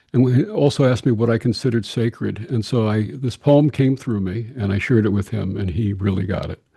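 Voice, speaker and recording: The man's voice sits at medium pitch and is somewhat breathy, with a dark, mellow tone. He talks at a fairly quick pace with ordinary pitch variation. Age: 70s. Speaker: interfaith minister. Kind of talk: interview.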